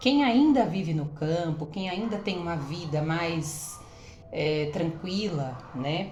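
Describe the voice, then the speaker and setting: Over noticeable background noise and audible room echo, a woman with a fairly low pitch talks at a very slow pace with lively intonation. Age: 30s. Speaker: women's health vlogger. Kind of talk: casual vlog talk to viewers. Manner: hesitant, many fillers.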